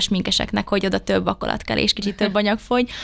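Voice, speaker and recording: A woman with a medium-pitched voice speaks at a very fast pace. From Hungary, Debrecen. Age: 20s. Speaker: beauty pageant contestant. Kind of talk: interview. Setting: studio.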